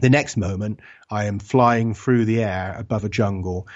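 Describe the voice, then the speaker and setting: Speech in an English accent comes at a moderate pace. The intonation stays fairly even. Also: man. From England. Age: 40s. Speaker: author and researcher. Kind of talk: interview.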